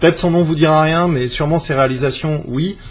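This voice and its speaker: The man's voice is somewhat breathy. He keeps a moderate pace and fairly even intonation. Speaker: YouTuber and vape shop owner. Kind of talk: casual vlog and interview. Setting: at the guest's home.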